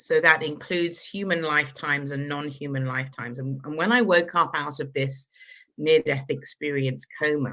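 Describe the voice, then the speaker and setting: Against a quiet background, a woman with a southern English accent speaks at a moderate pace in a very deep, low pitch, with a bright, sharp tone and ordinary pitch variation. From London, England. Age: 60s. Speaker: energy healer. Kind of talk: interview.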